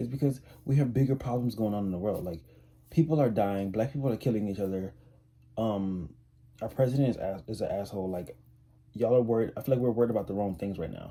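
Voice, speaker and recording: The speaker's dark, mellow voice races at a very fast pace, broken by long, frequent pauses, with ordinary pitch variation. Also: man, medium pitch for a man. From US South, New Orleans, Louisiana. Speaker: YouTuber. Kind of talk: opinion vlog. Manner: casual, filler-heavy.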